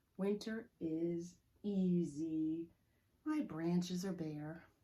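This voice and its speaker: In a put-on character voice, a woman speaks at a very slow pace and a fairly low pitch. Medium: read story. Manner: earnest, storybook-like.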